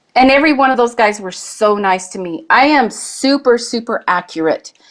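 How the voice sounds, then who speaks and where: This is a plain, everyday voice with lively intonation. It moves at a moderate pace, with big swings in loudness. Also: woman, fairly high pitch for a woman. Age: 60s. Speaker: guest, competitive shooter. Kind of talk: casual chat.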